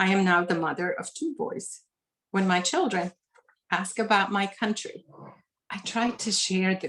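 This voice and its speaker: A woman with a Lebanese accent, fairly slow, with ordinary pitch variation. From Lebanon. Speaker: author. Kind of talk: reading aloud; author talk. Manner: formal.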